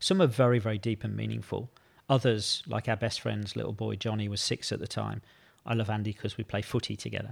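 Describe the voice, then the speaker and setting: A man rattles along at a very fast pace in a very clean recording with a silent background. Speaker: leadership coach and author. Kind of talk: interview.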